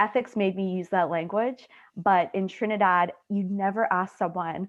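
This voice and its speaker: Medium pitch and a moderate pace from a female speaker. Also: fairly even intonation. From Canada, Trinidadian family. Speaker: student researcher. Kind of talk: Q&A discussion.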